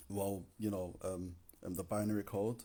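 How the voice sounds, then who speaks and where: The recording is very clean, with a silent background. A man speaks at a fairly low pitch in a somewhat breathy voice with a dark, mellow tone. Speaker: poet. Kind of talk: casual talk to camera. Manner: relaxed, hesitant.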